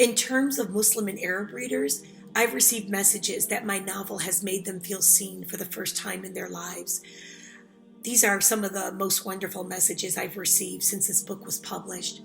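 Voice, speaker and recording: Music plays in the background as a woman speaks in an American accent with fairly even intonation. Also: medium pitch for a woman, moderate pace. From Chicago South Side, USA. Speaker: author. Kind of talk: interview answer.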